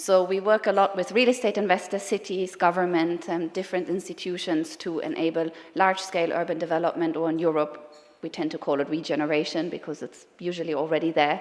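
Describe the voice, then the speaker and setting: A woman with a German accent speaks very fast in a fairly low voice, her intonation fairly even. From Germany. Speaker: sustainability consultant. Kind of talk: conference talk. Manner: hesitant, many fillers.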